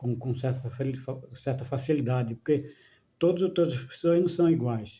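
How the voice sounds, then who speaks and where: Somewhat breathy and dark, mellow in tone, a man speaks at a medium pitch with ordinary pitch variation. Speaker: spiritual video talker. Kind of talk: casual monologue on spirituality. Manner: slow, measured; halting, repetitive fillers.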